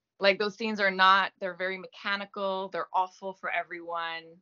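Flat and monotone, the female voice stays at a mid pitch the whole way through. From Quebec, Gaspé. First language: French. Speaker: actress. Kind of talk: interview. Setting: video call.

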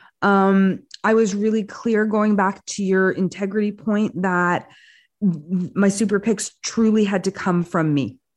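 Against a quiet background, a plain, everyday voice with a Canadian accent moves at a fairly slow pace, its loudness very even and its intonation fairly even. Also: woman, medium pitch for a woman. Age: 50s. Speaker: film critic and entertainment presenter. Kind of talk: interview.

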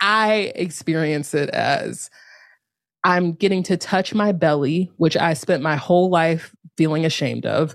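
A woman with an ordinary speaking voice speaks at a fairly slow pace and fairly low pitch, with ordinary pitch variation, on a very clean recording with a silent background. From North Carolina. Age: 30s. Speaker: yoga teacher and author. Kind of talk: casual interview.

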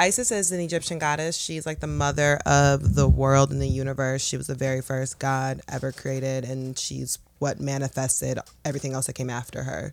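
A woman with an American accent at a fairly quick pace, over noticeable background noise. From Detroit, Michigan. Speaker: social media content creator. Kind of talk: casual chat.

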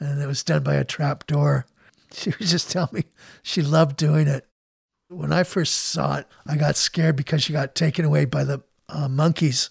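The speech moves at a moderate pace, and the sound is dry and close with no echo. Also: man. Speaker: son of a film star. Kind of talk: interview.

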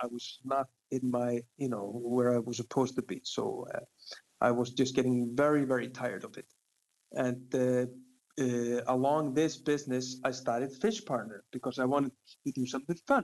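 A man with an Icelandic accent, medium pitch, ordinary pitch variation and a moderate pace, in a dry, close sound with no echo. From Iceland, Reykjavik. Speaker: fishing guide. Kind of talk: interview.

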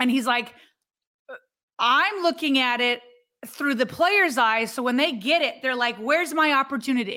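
In a raised, projected voice with a bright, sharp tone, a woman speaks at a high pitch and a moderate pace, with ordinary pitch variation and long, frequent pauses. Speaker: sports podcast co-host. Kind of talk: casual chat.

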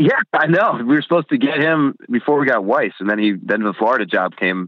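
Someone talks at a very fast pace with an American accent. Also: man. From New Jersey. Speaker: college football fan. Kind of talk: casual chat.

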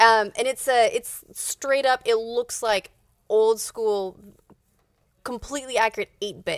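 A woman speaks at a fairly high pitch and a fairly slow pace with fairly even intonation, her unremarkable speaking voice captured in a dry, close sound with no echo. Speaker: podcast host.

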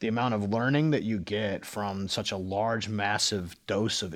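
The recording is very clean, with a silent background. A man speaks at a fairly low pitch in a Midwestern American accent. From US Midwest (Cincinnati, Ohio). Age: 40s. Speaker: video game design director. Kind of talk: casual interview.

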